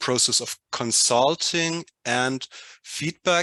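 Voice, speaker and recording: A man with a non-native accent and a bright, sharp tone speaks at a very slow pace, with dry, close sound, no echo and a quiet background. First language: not English. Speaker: workshop participant. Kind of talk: group discussion presentation. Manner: halting.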